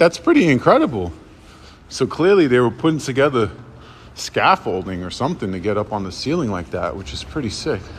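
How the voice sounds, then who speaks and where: A man's voice with vocal fry at a moderate pace. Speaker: urban explorer vlogger. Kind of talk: casual vlog chat. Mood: excited, impressed. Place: tunnel cave. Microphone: phone near.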